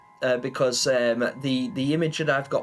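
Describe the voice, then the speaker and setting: Medium-pitched male voice with an English accent, music in the background. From England. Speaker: gaming streamer. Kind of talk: live stream chat. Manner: loud; hesitant fillers.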